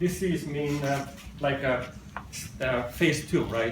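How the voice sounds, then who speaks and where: Audible room echo with noticeable background noise. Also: man. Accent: Italian. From Italy. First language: Italian. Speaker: software developer, conference speaker. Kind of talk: technical talk. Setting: stage with audience.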